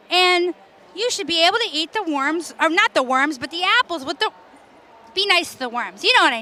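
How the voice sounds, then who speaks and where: A woman's raised, projected voice at an extremely high pitch, with very wide pitch swings, a fairly quick pace and noticeable background noise. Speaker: activist. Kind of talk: interview. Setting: expo floor. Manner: loud; animated.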